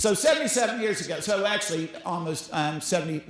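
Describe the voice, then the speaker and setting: A man talks at a fairly quick pace with ordinary pitch variation, audible room echo and noticeable background noise. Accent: Southern US. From US South. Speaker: school executive director. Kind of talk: conference talk. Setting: stage with audience.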